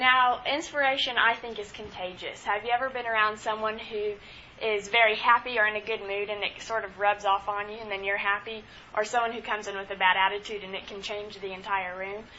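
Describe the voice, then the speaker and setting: A woman talks at a fairly quick pace with a fairly high pitch. Her intonation is monotone and flat. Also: big swings in loudness. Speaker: student. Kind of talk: student presentation.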